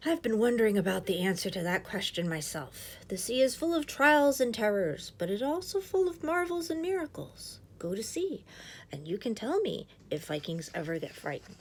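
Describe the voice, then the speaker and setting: Using a wheezy, put-on character voice, a woman speaks at a fairly high pitch with very wide pitch swings and a moderate pace. Clear background noise is present. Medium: read story. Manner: slow, wise.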